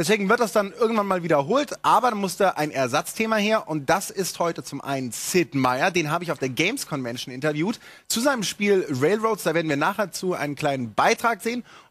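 Against a quiet background, a man with a high pitch speaks in an animated tone at a fairly quick pace, with very wide pitch swings and hardly any pauses. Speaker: TV gaming show host. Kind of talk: live TV show presentation. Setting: TV studio. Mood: playful, joking. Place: studio. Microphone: lapel.

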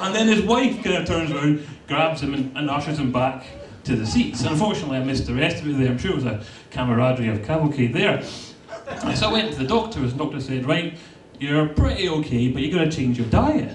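A man races along at a very fast pace while noticeable background noise sounds behind him. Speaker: stand-up comedian. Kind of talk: stand-up comedy routine. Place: stage.

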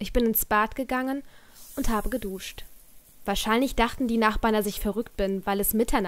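An unforced reading voice.

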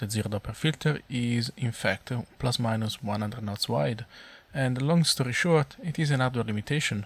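Heard in a very clean recording with a silent background, a man with a non-native accent speaks at a medium pitch in a somewhat breathy voice. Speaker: flight simulator content creator. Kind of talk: tutorial narration. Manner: flat, inexpressive.

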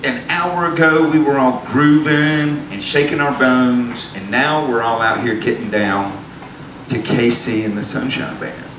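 In a Southern US accent, a man speaks at a fairly slow pace with ordinary pitch variation. Noticeable background noise runs underneath. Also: medium pitch for a man. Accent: southern drawl. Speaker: storyteller on stage. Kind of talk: live storytelling monologue. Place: stage. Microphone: handheld.

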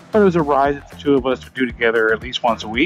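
A man speaks in a dry sound with no echo. Faint music plays in the background. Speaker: motorcycle vlogger. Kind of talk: casual vlog chat. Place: motorbike.

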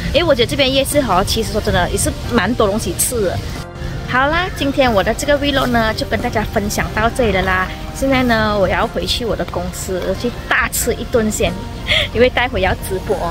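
Clear music plays in the background as a woman speaks at a fairly quick pace. Her voice sounds dry with no echo. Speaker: food vlogger. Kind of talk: casual vlog chat. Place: market. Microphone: phone near.

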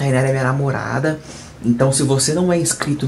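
Against light background noise, a man speaks at a fairly high pitch with ordinary pitch variation. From Brazil. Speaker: YouTuber. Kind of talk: casual vlog talk to camera. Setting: at home, bedroom. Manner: animated. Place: home room. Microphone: phone near.

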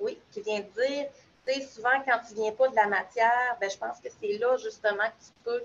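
At a moderate pace, a woman speaks in a high pitch with ordinary pitch variation and big swings in loudness. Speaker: new pedagogical advisor. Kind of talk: online group discussion. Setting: video call.

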